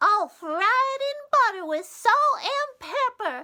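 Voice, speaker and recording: A woman puts on a squeaky character voice at an extremely high pitch, swinging very widely in pitch at a fairly slow pace. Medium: read story. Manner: firm, motherly.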